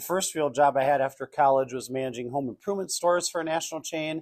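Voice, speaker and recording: With a Minnesotan accent and a fairly high pitch, a man speaks in a very clean recording over a silent background. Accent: Minnesota. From northern Minnesota. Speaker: customer service speaker and trainer. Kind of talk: workshop presentation. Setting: banquet hall with audience. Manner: casual, conversational.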